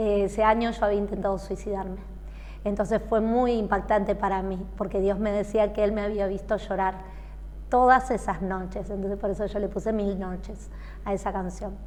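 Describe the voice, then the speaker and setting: Speaking at a medium pitch and moderate pace, the woman uses a monotone, flat intonation. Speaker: singer. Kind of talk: interview.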